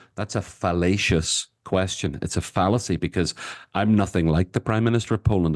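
A man with a Northern Irish accent, very deep and low in pitch, at a fairly quick pace with fairly even intonation, dry and close with no echo against a quiet background. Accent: Northern Irish (Belfast). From Northern Ireland, Belfast. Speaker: author and activist. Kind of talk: interview conversation. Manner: talkative.

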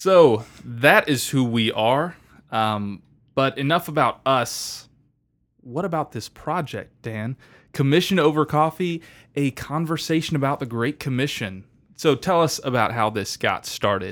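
With an ordinary speaking voice and an American accent, a man talks at a fairly slow pace and fairly high pitch, his intonation lively, in a very clean recording with a silent background. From Florida Panhandle. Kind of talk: casual chat.

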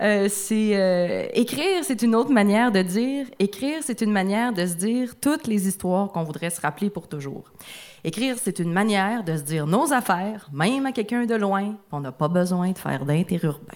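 An unremarkable speaking voice talks at a moderate pace, its intonation lively. The recording is very clean, and the background is silent. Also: woman, medium pitch for a woman. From Abitibi-Témiscamingue, Quebec. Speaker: author. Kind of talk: reading own text aloud. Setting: stage with audience.

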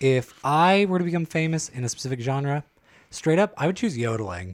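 In an American accent, the speaker's voice makes very wide pitch swings. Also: man. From California, San Joaquin County. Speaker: podcast co-host. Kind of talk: casual chat.

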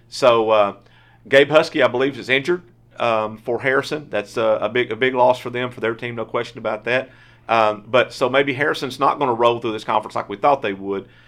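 At a fairly quick pace, a man at medium pitch uses an ordinary speaking voice with fairly even intonation. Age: 50s. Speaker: sportswriter podcast host. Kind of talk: casual sports chat. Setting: studio.

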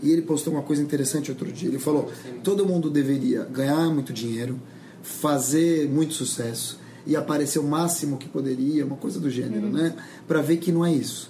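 Speaking at a fairly quick pace in a fairly high pitch, a man is heard with audible room echo and noticeable background noise. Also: ordinary pitch variation. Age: 40s. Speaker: journalist and communications agency head. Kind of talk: casual chat.

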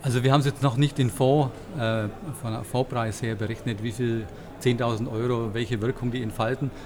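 A man speaks with a plain, everyday voice. His pitch is medium and his intonation fairly even. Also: moderate pace. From Bavaria. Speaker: fund manager. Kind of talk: interview. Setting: conference venue.

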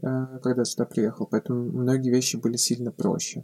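A man's dark, mellow voice, dry and close with no echo. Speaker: film director. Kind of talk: casual interview.

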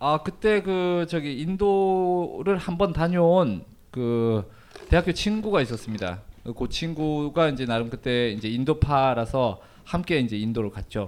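His pitch is fairly high for a man and swings very widely. The man speaks at a fairly slow pace. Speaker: travel writer and Turkey expert. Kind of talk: casual interview, telling life story. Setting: live event with audience.

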